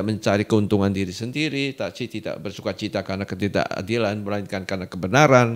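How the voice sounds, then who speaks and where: This man talks at a very fast pace with a fairly low pitch and ordinary pitch variation. The recording is very clean and the background silent. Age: 70s. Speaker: doctor and preacher. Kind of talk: podcast interview. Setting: studio.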